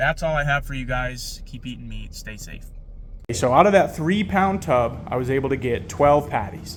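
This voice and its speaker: With lively intonation, a man speaks at a moderate pace amid audible room echo. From New York. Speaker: diet vlogger. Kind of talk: casual vlog. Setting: at home at night. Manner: hesitant, many fillers; soft-spoken.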